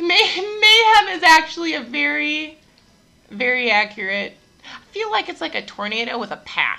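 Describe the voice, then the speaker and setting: A woman with a high pitch uses a raised, projected voice with a bright, sharp tone. Her pitch swings very widely and her loudness varies a lot. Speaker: gym owner and fitness coach. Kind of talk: casual chat podcast. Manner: fast talker.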